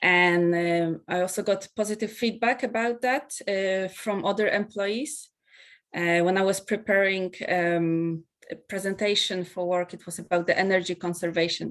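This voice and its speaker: The speaker has a non-native accent and keeps a moderate pace. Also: woman, medium pitch for a woman, ordinary pitch variation. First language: not English. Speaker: part-time student and engineer. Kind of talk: interview testimony. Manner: halting, many fillers.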